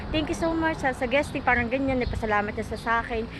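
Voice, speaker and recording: A woman with a high pitch speaks in an animated tone. Room echo is audible, and there is noticeable background noise. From Philippines. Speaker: vlogger. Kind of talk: casual vlog storytelling.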